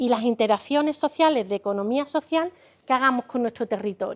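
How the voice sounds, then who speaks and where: A woman speaks with an Andalusian accent and lively intonation. The sound is dry and close, with no echo. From Andalusia, Spain. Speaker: business consultant. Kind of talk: lecture.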